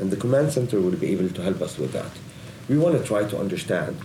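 A man with an Arabic accent speaks at a fairly low pitch with lively intonation. Audible room echo and noticeable background noise fill the recording. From Lebanon. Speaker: digital agency executive. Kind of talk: interview. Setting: studio.

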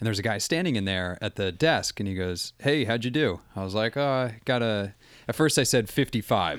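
In a very clean recording with a silent background, a man talks in a normal speaking voice at medium pitch, fairly quick pace, and with lively intonation. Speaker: podcaster. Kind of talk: casual chat.

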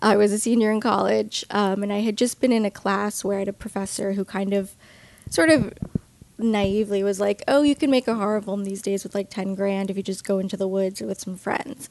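With an American accent, an unremarkable speaking voice moves at a fairly quick pace with fairly even intonation. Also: woman, medium pitch for a woman. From Long Island, New York. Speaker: filmmaker and film educator. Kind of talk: interview.

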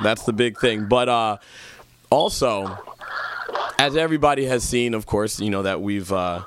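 Noticeable background noise surrounds a man's fairly low voice. His pitch variation is ordinary. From Jamaica. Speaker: podcast host and DJ. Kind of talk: casual political chat. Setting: studio.

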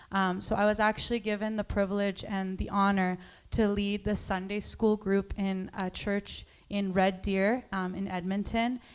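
Monotone and flat, a woman's medium-pitched voice moves at a fairly slow pace on a very clean recording with a silent background. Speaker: congregant. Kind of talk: testimony.

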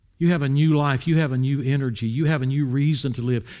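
A man is speaking at a moderate pace. He has an American accent. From US South, Wilmington, North Carolina. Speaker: pastor. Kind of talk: sermon.

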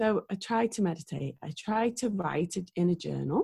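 A somewhat breathy, dark and mellow tone with ordinary pitch variation. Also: woman. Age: 40s. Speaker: singer-songwriter. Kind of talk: casual chat.

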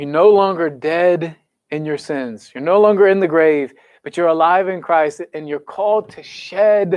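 With an American accent, the speaker uses an animated tone at a fairly slow pace, with ordinary pitch variation. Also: man. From US Midwest, Kansas City area. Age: 30s. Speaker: youth pastor. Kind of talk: sermon. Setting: church service, also streamed online.

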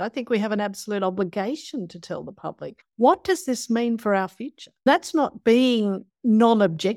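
Lively intonation from a woman with an Australian accent, dry and close with no echo, on a very clean recording with a silent background. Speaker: ecology professor and climate scientist. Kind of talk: interview.

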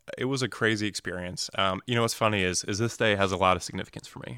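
On a very clean recording with a silent background and a dry, close sound free of echo, a man with a fairly low pitch and a bright, sharp tone speaks with fairly even intonation. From Arizona (North Phoenix), born in New Jersey. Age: 20s. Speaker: financial advisor sharing a personal faith story. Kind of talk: testimony in a casual interview. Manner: halting, many fillers and repeated words.

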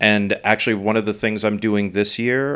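A man with an American accent, an ordinary speaking voice, a fairly low pitch and a fairly quick pace. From New York City. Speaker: visual artist. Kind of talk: casual chat.

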